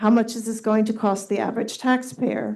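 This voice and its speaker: A soft-spoken woman talks with a fairly high pitch and a dark, mellow tone. The background is quiet. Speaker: resident speaking at public comment. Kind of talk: public comment at council meeting.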